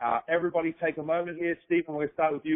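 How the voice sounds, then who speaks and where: This man's pitch sits fairly high. He talks with an Australian accent. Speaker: podcast host. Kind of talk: casual interview chat. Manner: halting.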